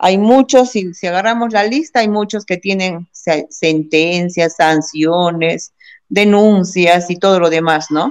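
A woman's voice at a medium pitch and a very slow pace. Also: ordinary pitch variation. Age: 50s. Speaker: politician. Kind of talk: interview.

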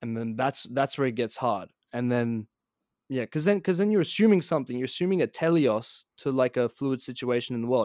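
A man with an Australian accent talks at a fairly quick pace in a medium pitch, his intonation lively. The sound is dry and close with no echo, and the recording is very clean with a silent background. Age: 20s. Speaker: podcast guest. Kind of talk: casual chat. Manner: very fast; animated.

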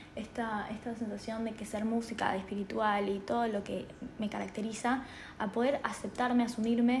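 Amid noticeable background noise and audible room echo, a woman talks at a moderate pace. Her fairly high voice stays monotone and flat. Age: 20s. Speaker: spiritual podcaster. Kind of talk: personal monologue. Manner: halting, many fillers.

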